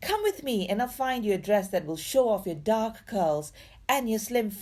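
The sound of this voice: The clip features an unforced reading voice. That is what is heard throughout.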